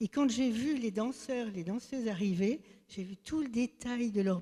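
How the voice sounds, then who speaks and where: Somewhat breathy speech from a woman, dark and mellow in tone, at a fairly slow pace. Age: 70s. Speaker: church member giving testimony. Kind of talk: testimony. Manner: halting.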